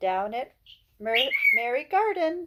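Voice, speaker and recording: A put-on character voice swoops through very wide pitch swings at a high pitch. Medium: read story.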